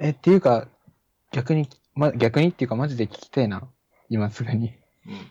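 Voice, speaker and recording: A man with a dark, mellow tone and medium pitch talks at a moderate pace, somewhat breathy, with lively intonation, big swings in loudness and long, frequent pauses, the sound dry and close with no echo. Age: 20s. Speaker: technical college student and app developer. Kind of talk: casual chat.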